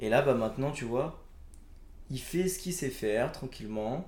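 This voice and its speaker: This man talks at a fairly slow pace with ordinary pitch variation. His tone is dark and mellow, and room echo is audible. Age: young. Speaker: podcast guest. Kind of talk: casual chat.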